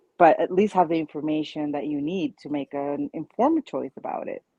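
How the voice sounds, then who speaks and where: In a Spanish accent, a woman with a very deep, low pitch talks at a fairly quick pace. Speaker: childfree community founder, panelist. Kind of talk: panel discussion.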